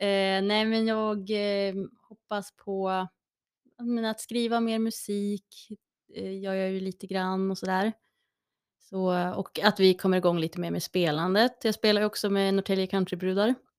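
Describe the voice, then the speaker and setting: In a dry, close recording with no echo, a woman of medium pitch speaks at a moderate pace in a monotone, flat intonation. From Gävle, Sweden. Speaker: musician and singer. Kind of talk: casual interview chat.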